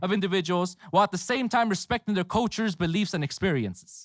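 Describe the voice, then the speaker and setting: Dry and close with no echo, a man speaks with lively intonation. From Los Angeles, California. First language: Spanish. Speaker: graduate student speaker. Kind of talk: commencement speech. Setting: outdoor ceremony with audience. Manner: halting, many fillers.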